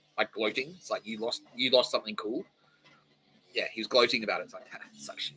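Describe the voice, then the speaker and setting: His pace is very fast. This man has an Australian accent. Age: 40s. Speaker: podcast host. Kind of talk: casual monologue. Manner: animated.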